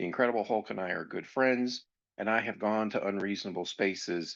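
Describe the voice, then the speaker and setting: In a plain, everyday voice, a man with an American accent talks at a moderate pace with fairly low pitch, ordinary pitch variation and a quiet background. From grew up in a US military family. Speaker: podcast host on anger management. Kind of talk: educational podcast monologue.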